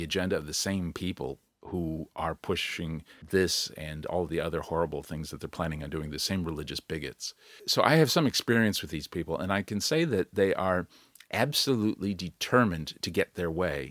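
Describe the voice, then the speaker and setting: A man's very deep, low voice with ordinary pitch variation in a very clean recording with a silent background. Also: dry, close sound with no echo. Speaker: podcast host. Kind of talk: solo podcast monologue, unscripted. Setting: home recording alone. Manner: informal, self-deprecating, rambling with restarts.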